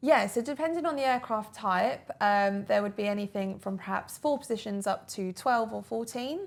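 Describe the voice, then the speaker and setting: Speaking at a moderate pace with hardly any pauses, a woman with an Essex accent uses fairly high pitch and lively intonation on a very clean recording with a silent background. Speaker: former airline cabin crew, interviewee. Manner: casual, conversational with frequent fillers.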